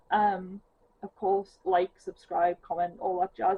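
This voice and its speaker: A woman's medium-pitched voice with a strong Geordie accent, fairly even intonation and a moderate pace. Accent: thick Geordie. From northeast England. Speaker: cross-stitch vlogger. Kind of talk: casual chat. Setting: at home on sofa.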